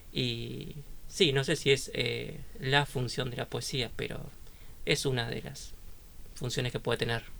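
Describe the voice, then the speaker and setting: A man speaking at a fairly slow pace, with long, frequent pauses. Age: 30s. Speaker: journalist and poet. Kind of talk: radio interview.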